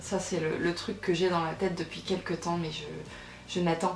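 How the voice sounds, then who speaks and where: Background music and audible room echo behind a woman speaking. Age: 20s. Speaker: YouTuber. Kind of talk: Q&A vlog. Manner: hesitant, many fillers.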